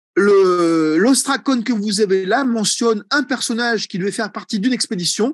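With hardly any pauses, a man speaks at a moderate pace and high pitch with ordinary pitch variation, in a dry sound with no echo and a quiet background. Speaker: egyptology professor; egyptology professor presenting. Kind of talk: seminar lecture. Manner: hesitant with many fillers. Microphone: video call.

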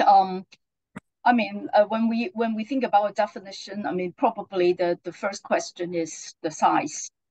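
A woman's somewhat breathy, dark, mellow voice, fairly high in pitch, at a moderate pace against a quiet background. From Hong Kong. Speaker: accreditation official; presenter. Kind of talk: presentation; webinar presentation and panel answer. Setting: video call. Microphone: video call.

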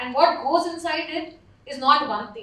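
Audible room echo around a woman talking at a fairly slow pace. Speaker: panelist. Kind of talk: conference presentation. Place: hall.

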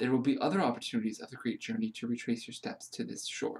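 A man speaks quietly in a calm, soothing, dark and mellow tone. His pitch shows ordinary variation. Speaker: meditation guide reading aloud. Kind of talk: guided meditation read from a book. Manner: slow, calm, soothing; gentle, hushed, with pauses. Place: home room. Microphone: phone near.

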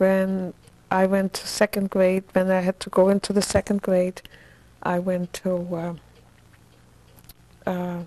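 A woman speaks in a flat monotone, broken by long, frequent pauses, in a dry recording with no echo. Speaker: interviewee. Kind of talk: interview answer. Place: home room. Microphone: lapel.

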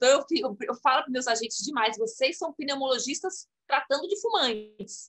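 Barely pausing, a woman with a high pitch speaks with very wide pitch swings. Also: moderate pace. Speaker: program coordinator. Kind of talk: interview. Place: home room. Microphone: video call.

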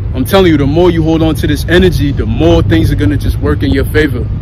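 A man at a fairly quick pace against loud background noise. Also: dry sound with no echo. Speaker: lifestyle vlogger. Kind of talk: casual vlog chat. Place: street. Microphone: earbuds.

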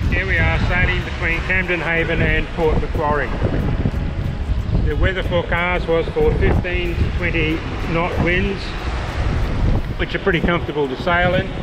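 The speech keeps a moderate pace, broken by long, frequent pauses. Behind it, music is playing. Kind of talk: casual vlog chat. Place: boat. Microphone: phone near.

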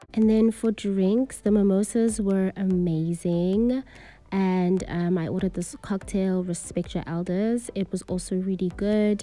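A woman speaks at a fairly slow pace in a dark, mellow tone with ordinary pitch variation. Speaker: vlogger reviewing a restaurant. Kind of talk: casual review vlog chat. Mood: relaxed, mildly critical. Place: bar. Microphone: phone near.

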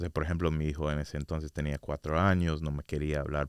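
This man talks at a fairly quick pace in a very deep, low voice, flat and monotone, with a dry sound and no echo. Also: quiet background. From US, Orlando, Florida; Florida. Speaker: state commission researcher; guest. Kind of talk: casual interview; interview answer. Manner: hesitant, many fillers. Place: studio. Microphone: studio mic.

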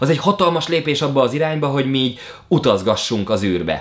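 A man with a fairly high pitch talks at a very fast pace in an animated tone with lively intonation. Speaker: YouTuber. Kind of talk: vlog monologue.

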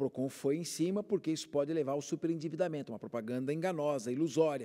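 Over a quiet background, a man with a dark, mellow tone talks at a fairly quick pace with ordinary pitch variation. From São Paulo city, Brazil; Brazil. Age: 50s. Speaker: public prosecutor and consumer agency director; guest. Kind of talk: TV interview. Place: studio. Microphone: lapel.

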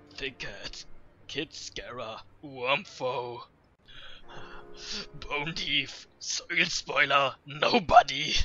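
In a put-on character voice with fairly high pitch, a man talks at a very slow pace, leaving long, frequent pauses. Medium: dub.

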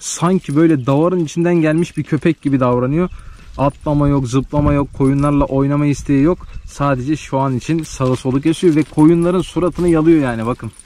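A man speaks in a normal speaking voice, fairly high in pitch, with fairly even intonation. His pace is fairly quick with hardly any pauses, and the sound is dry with no echo. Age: 20s. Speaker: village life and livestock vlogger; livestock vlogger. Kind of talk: casual vlog talk to camera. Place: farm. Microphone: phone near.

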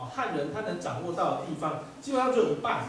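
The speaker moves at a fairly quick pace with very wide pitch swings. Audible room echo and light background noise surround the voice. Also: man. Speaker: law professor. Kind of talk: lecture. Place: hall.

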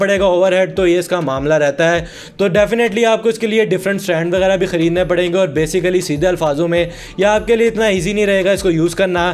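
The intonation stays fairly even at a moderate pace. Background noise is noticeable. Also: man. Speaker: tech youtuber. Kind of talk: product review.

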